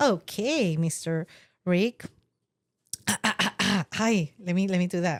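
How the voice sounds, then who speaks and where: Recorded dry and close with no echo, a woman with a Spanish accent speaks at a very slow pace and medium pitch, with ordinary pitch variation, very even loudness, and long, frequent pauses. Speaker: podcast co-host. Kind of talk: casual chat.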